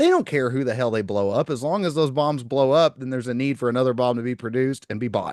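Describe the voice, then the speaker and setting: A man's medium-pitched voice with a slight Southern US accent, very fast and with hardly any pauses, with ordinary pitch variation. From Oklahoma. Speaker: podcast host. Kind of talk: casual podcast conversation.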